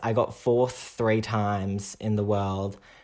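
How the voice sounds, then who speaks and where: An Australian accent at a very slow pace, with monotone, flat intonation. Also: man, very clean recording, silent background. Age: young. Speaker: dancer. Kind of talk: casual chat.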